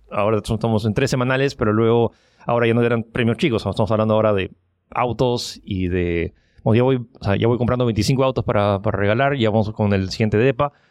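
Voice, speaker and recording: Against a quiet background, a man talks very fast at a medium pitch, with very even loudness and fairly even intonation. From Peru. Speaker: online giveaway entrepreneur. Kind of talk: interview. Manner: halting.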